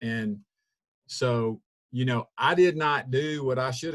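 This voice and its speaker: Southern US accent from a male speaker. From US South. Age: 60s. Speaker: weight-loss program member. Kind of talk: testimony. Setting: video call. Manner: halting.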